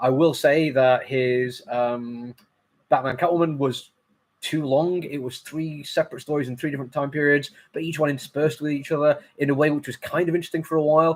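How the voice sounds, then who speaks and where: A man with a fairly high pitch, fairly even intonation and a fairly quick pace. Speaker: comic book reviewer. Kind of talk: casual review monologue. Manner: fast; hesitant, many fillers.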